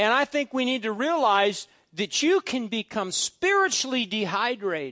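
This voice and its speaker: Projecting a raised voice, a man speaks at a moderate pace with extremely high pitch, very wide pitch swings and a bright, sharp tone, captured dry and close with no echo. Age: 50s. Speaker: pastor. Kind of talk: sermon.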